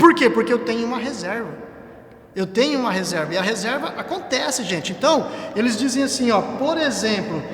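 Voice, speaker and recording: A man talks at a fairly quick pace in an extremely high pitch with lively intonation. Audible room echo and noticeable background noise surround him. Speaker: church lay teacher, civil servant. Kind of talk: church teaching talk on a livestream. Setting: church livestream. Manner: fast.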